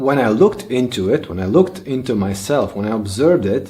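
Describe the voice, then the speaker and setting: A man with a Bosnian accent and a dark, mellow tone, at a moderate pace with very wide pitch swings. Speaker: language learning youtuber. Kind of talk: personal vlog monologue. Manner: halting, with fillers.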